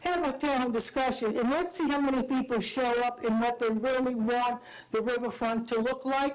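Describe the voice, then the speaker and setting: Over noticeable background noise, a woman speaks at a moderate pace and high pitch, keeping her loudness very even. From Madisonville, Louisiana. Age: 80s+. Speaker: public commenter at council meeting. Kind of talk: public comment at town meeting. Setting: town council meeting. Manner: animated.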